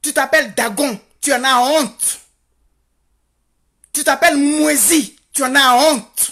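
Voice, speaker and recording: Speaking very slowly, a woman uses a high voice with a bright, sharp tone. She takes long, frequent pauses. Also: ordinary pitch variation. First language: Godié (speaking French). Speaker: activist vlogger. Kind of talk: impassioned monologue. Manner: animated; halting with repetitions.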